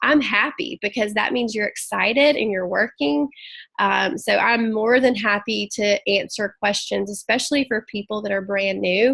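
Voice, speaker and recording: A woman speaks with a Southern US accent at a moderate pace. Her pitch is fairly high, with vocal fry. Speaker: network marketing team leader. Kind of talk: team training call. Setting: video call.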